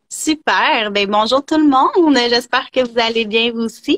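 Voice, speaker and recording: With a Quebec accent, a woman speaks at a fairly high pitch with ordinary pitch variation, recorded dry and close with no echo. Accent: Québécois. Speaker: energy therapist. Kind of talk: interview, personal story.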